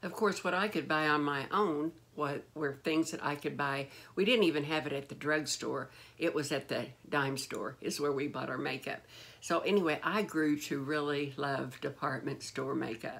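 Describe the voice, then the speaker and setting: This woman speaks with a very deep, low pitch and ordinary pitch variation. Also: moderate pace. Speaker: beauty vlogger. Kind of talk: casual vlog chat. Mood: warm nostalgic. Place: home room. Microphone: phone near.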